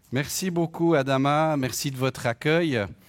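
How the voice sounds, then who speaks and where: At a fairly slow pace, a man speaks with a fairly high pitch. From French-speaking Switzerland. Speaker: lay preacher and economist. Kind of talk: sermon. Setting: church.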